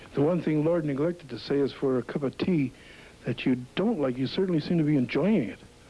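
Very rapid speech from a man, dark and mellow in tone. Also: ordinary pitch variation. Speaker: wrestling announcer. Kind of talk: TV event promo announcement. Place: studio. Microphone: handheld.

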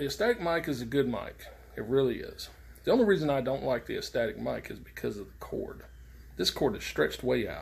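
The voice moves at a fairly quick pace, its loudness swinging widely. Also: man. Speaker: CB radio hobbyist. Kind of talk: casual tutorial vlog. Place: garage. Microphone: phone near.

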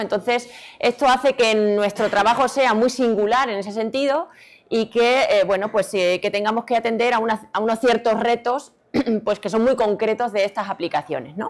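Here a woman speaks at a fairly quick pace. Her pitch sits fairly high. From Extremadura, Spain (Badajoz); Extremadura, Spain. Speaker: robotics researcher and lecturer; lecturer. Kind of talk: conference talk. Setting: stage with audience. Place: hall.

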